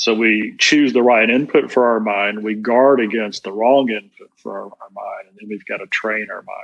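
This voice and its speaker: A man in a normal speaking voice speaks at medium pitch and a moderate pace, his intonation fairly even but his loudness swinging widely. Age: 50s. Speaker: business executive and speaker. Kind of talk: interview.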